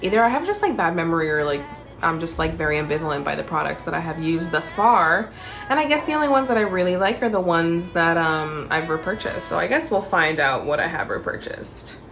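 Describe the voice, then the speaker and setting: Over music in the background, a woman speaks at a very fast pace in a fairly low voice with ordinary pitch variation. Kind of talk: casual talk to camera. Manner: casual, chatty.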